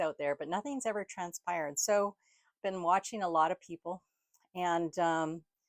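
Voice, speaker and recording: In a very clean recording with a silent background, a woman with an ordinary speaking voice talks at a medium pitch and moderate pace, with ordinary pitch variation and a dry, close sound with no echo. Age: 60s. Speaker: vlogger. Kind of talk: casual talk to camera.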